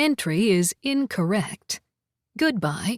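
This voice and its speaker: A woman puts on a character voice at a medium pitch, with very wide pitch swings and a very slow pace. The sound is dry and close, with no echo. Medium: read story. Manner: pleasant.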